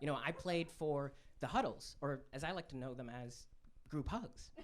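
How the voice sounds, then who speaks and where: A fairly high-pitched man amid audible room echo. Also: ordinary pitch variation, moderate pace. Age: 20s. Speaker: stand-up comedian. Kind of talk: stand-up. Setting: stage with audience.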